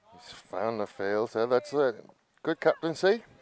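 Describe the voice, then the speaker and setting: Pitch swings very widely as a man with an English accent talks at a moderate pace. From England. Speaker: cricket commentator. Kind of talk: live commentary.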